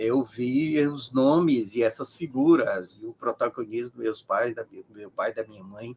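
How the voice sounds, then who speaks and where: At a moderate pace and medium pitch, a man talks with hardly any pauses, ordinary pitch variation and big swings in loudness, in a dry, close sound with no echo. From Brazil, Ceará. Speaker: sociologist of religion. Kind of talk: interview. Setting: live stream.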